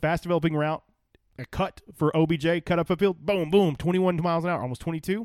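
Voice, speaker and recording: Someone with an American accent speaks at a very fast pace with fairly even intonation, in a very clean recording with a silent background. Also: man, high pitch for a man. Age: 30s. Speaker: sports podcast co-host. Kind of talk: casual chat.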